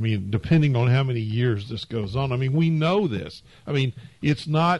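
A man with an American accent speaks at a medium pitch and a moderate pace. His somewhat breathy voice carries lively intonation. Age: 70s. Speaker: financial advisor. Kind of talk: casual chat. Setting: studio.

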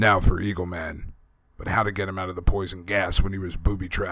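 The voice sounds natural. It belongs to someone reading a text aloud.

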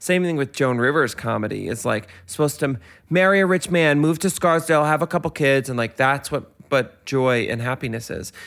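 A man with a normal speaking voice and an American accent, fairly high pitched for a man, at a fairly quick pace with hardly any pauses and ordinary pitch variation, on a very clean recording with a silent background. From New York, Westchester. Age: 30s. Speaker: podcaster. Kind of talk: casual chat.

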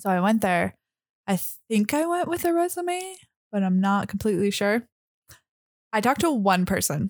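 A woman's medium-pitched voice with very wide pitch swings, very even loudness and long, frequent pauses. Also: moderate pace. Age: 20s. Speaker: garden nursery worker. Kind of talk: casual chat.

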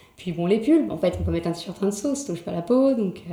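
Over noticeable background noise, a woman talks at a fairly quick pace with lively intonation and a medium pitch. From Paris, France. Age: 20s. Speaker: Instagram creator. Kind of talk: casual interview. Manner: halting.

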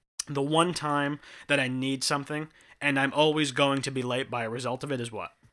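A man's bright, sharp tone in a monotone, flat intonation, on a very clean recording with a silent background. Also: fairly high pitch for a man. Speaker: podcast host. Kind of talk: casual banter. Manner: rambling, filler words.

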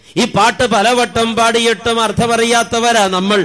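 Noticeable background noise surrounds a man whose voice sits at an extremely high pitch. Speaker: priest. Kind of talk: sermon. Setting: stage with audience. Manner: animated.

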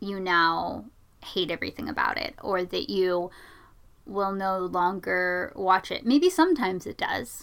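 A woman speaks in a normal speaking voice at medium pitch, fairly slowly and with lively intonation, on a very clean recording with a silent background. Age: 20s. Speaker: podcast co-host. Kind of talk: casual discussion.

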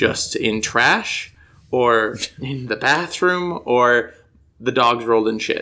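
A man with an American accent talks at a very slow pace in a bright, sharp tone. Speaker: podcast co-host. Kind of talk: casual chat. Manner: animated, expressive intonation.

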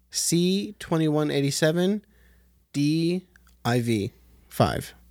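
His speech unfolds at a very slow pace, the pitch varying in an ordinary way, as a man talks. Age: 30s. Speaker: podcast co-host. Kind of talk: quiz reading; show outro.

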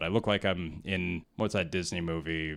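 A man with a Canadian accent has a very deep, low pitch and a bright, sharp tone. The recording is very clean, with a silent background. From Canada, Whitehorse, Yukon. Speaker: comedian. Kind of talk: casual chat.

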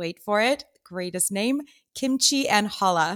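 Lively intonation and an enthusiastic tone come through with an American accent at a fairly slow pace. The recording is very clean, with a silent background. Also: woman. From US West Coast. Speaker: podcast host and dietitian. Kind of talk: interview.

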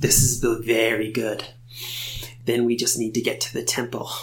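A man uses a put-on character voice at a medium pitch. He keeps a moderate pace over light background noise. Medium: actual play. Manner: curt, condescending.

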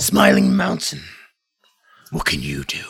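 In a put-on character voice, a man growls at a very deep, low pitch, gravelly and raspy, in a monotone, flat delivery at a fairly slow pace. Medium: actual play. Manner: stern, commanding.

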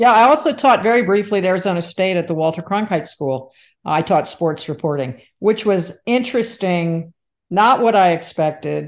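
In an ordinary speaking voice with an American accent, a woman talks at a moderate pace and medium pitch. Her intonation is lively, over a quiet background. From New Jersey. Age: 60s. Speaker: former sports anchor and umpire, professor. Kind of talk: interview chat.

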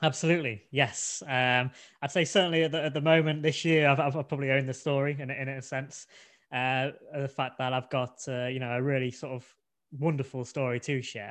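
This man talks with an English accent at a fairly quick pace. His pitch is fairly high and his intonation fairly even. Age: 20s. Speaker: podcast co-host, blind expectant father. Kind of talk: casual chat.

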